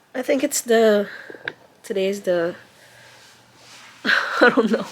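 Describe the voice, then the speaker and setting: The woman's speech unfolds very slowly. Background noise is noticeable throughout. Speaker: mom vlogger. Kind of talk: casual vlog chat. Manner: halting, many fillers.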